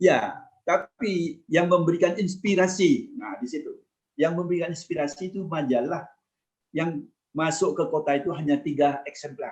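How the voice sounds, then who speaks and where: With a Madurese accent, a man talks at a moderate pace and a high pitch, his loudness swinging a great deal. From East Java, Madurese-speaking area (Kraksaan, Probolinggo). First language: Madurese (speaking Indonesian). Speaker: former ambassador. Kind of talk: casual interview, life story. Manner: halting, with restarts.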